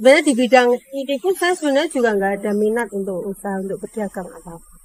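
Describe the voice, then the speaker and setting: Her fairly high voice moves at a fairly quick pace with ordinary pitch variation, recorded dry and close with no echo. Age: 40s. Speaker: food stall owner. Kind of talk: interview. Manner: halting.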